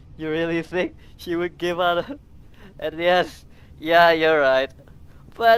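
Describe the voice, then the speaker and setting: Her pitch is fairly low for a woman. She talks at a very slow pace. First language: not English. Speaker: vtuber streamer. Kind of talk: gameplay livestream commentary. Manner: animated.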